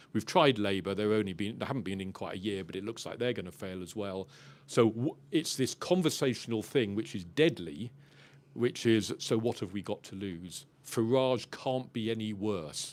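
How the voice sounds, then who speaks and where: A man with a fairly low pitch, ordinary pitch variation, big swings in loudness and a moderate pace, in a very clean recording with a silent background. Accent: English. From England. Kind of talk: panel discussion.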